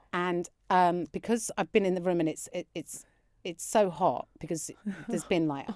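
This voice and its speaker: A woman with a southern English accent speaks at a moderate pace in a dry, close sound with no echo. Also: fairly low pitch for a woman, ordinary pitch variation. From London suburbs. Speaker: comedian. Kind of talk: casual chat, anecdote. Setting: podcast. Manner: animated.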